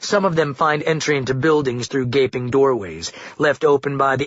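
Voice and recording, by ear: The speaker reads aloud in a natural voice.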